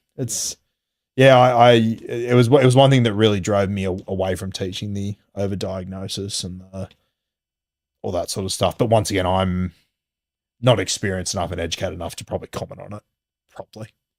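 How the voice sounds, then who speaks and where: Someone with an Australian accent talks at a fairly quick pace, with long, frequent pauses and big swings in loudness. Pitch varies in an ordinary way, and the recording is very clean with a silent background. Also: man, fairly low pitch for a man. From Sydney, Australia. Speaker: rugby league podcaster and former primary teacher. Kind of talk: interview answer. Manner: casual, conversational.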